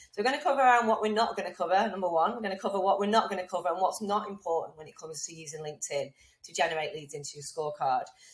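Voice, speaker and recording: A woman at medium pitch rattling along very fast with lively intonation, hardly any pauses and big jumps in loudness, over noticeable background noise. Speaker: LinkedIn lead generation trainer. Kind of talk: webinar masterclass presentation.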